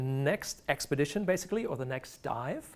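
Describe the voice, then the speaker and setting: A man with a German accent talks at a fairly quick pace. The recording is very clean, with a silent background. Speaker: marine biologist and research diver. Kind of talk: lecture. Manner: halting.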